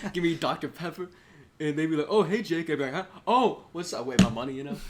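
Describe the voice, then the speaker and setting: A man's very fast, animated speech with an American accent, high pitch and lively intonation, against noticeable background noise. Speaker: podcast host. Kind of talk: casual chat.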